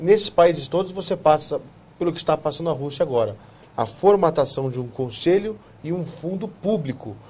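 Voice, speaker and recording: A man with a plain, everyday voice talks at a moderate pace. His pitch is fairly high, and his intonation is lively. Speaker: TV talk show host. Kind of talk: TV interview.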